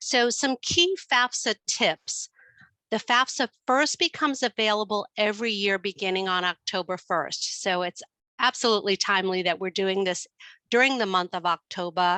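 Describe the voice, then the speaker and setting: A bright, sharp tone with a New York accent, ordinary pitch variation and a moderate pace, recorded dry and close with no echo against a quiet background. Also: woman, medium pitch for a woman. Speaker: student finance expert. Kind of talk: webinar presentation.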